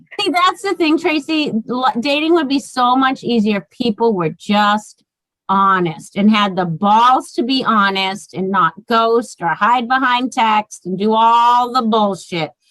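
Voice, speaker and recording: At a fairly slow pace with hardly any pauses, a woman speaks with lively intonation and a fairly high pitch. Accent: American. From Massachusetts, Boston area. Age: 40s. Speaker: author and podcast guest. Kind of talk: casual chat. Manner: animated.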